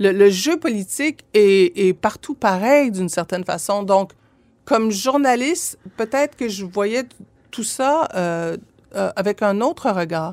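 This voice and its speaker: A woman's medium-pitched voice at a very slow pace, with a Quebec accent. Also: lively intonation. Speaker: former MP, lawyer and journalist. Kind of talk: casual interview. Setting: studio. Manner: halting, many fillers.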